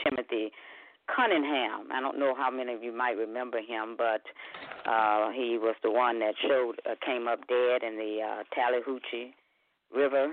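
The speaker uses a Southern US accent and keeps a moderate pace. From Mississippi, Tate County. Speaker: caller. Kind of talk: casual chat. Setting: phone call.

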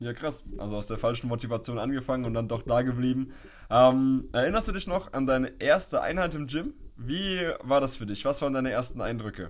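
With ordinary pitch variation, a plain, everyday voice goes at a fairly quick pace. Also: man, medium pitch for a man. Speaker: podcast host, personal trainer. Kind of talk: casual chat. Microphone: poor audio quality.

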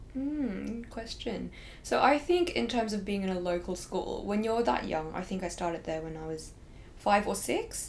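A woman speaks at a fairly quick pace in an Australian accent. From Hong Kong. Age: 20s. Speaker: law student. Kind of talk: casual interview chat.

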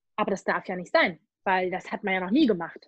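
A somewhat breathy woman at a moderate pace. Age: 40s. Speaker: animal communicator and medium. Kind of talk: casual interview.

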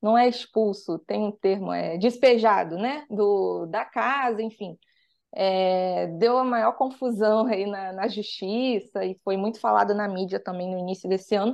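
A woman with a normal speaking voice talks at a fairly slow pace and medium pitch. The background is quiet. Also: ordinary pitch variation. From Rio de Janeiro, Brazil. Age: 20s. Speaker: financial mentor and author. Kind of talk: podcast interview.

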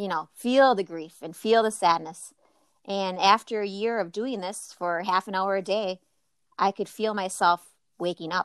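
A woman with an Upper Midwest accent talks at a moderate pace and medium pitch, with ordinary pitch variation and long, frequent pauses. The recording is very clean with a silent background, and the sound is dry and close with no echo. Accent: Upper Midwest American. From Wisconsin. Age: 40s. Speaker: yoga teacher. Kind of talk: casual chat.

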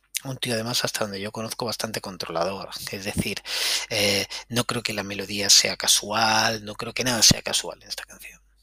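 The loudness swings widely at a moderate pace. Noticeable background noise sits under a dry, close sound with no echo. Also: man, fairly low pitch for a man. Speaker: podcast host, music commentator. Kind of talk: casual solo music commentary. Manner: animated.

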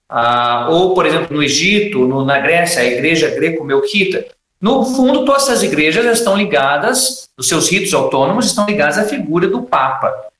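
The voice moves through very wide pitch swings at a moderate pace, with hardly any pauses, very even loudness, and audible room echo. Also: man, high pitch for a man. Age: 30s. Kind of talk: panel discussion.

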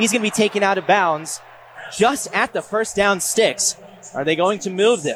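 A man's high-pitched voice at a moderate pace with ordinary pitch variation, over noticeable background noise. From Kansas. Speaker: student radio sports producer and broadcaster. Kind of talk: podcast breakdown of game broadcast with play-by-play clips.

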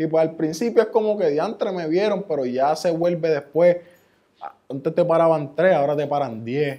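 A man's fairly high, plain, everyday voice at a moderate pace with ordinary pitch variation. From Puerto Rico, Ceiba. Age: 20s. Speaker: rapper. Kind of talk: casual interview.

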